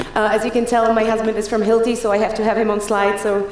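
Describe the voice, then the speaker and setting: The woman's pace is fairly quick. Noticeable background noise and audible room echo are present in the recording. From Czech Republic. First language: Czech. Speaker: keynote speaker. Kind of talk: conference talk. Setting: stage with audience. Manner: fast; animated.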